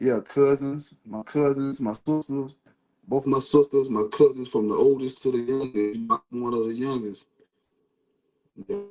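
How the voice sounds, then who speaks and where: Music plays in the background as a man speaks at a medium pitch with ordinary pitch variation. His pace is moderate, with long, frequent pauses. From US South, Georgia (Savannah, raised in Statesboro). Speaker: local rapper. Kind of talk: interview. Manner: casual, repetitive.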